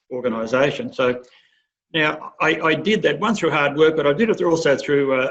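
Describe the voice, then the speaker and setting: This man has an Australian accent and a fairly high voice. He moves at a fairly quick pace with ordinary pitch variation. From Australia, rural western New South Wales. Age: 60s. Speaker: agricultural industry chief executive. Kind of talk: career advice talk. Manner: halting, many fillers.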